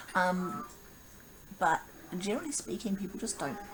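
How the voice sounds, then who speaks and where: Moderate-paced speech from a man, with noticeable background noise and audible room echo. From New Zealand. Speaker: vlogger. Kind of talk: casual vlog monologue. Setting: home video recording. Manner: rambling, halting with fillers.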